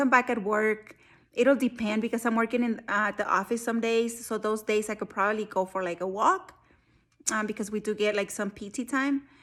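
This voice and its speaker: A woman's normal speaking voice, fairly high and fairly quick, with fairly even intonation, on a very clean recording over a silent background. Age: 40s. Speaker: army service member. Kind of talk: casual talk to camera.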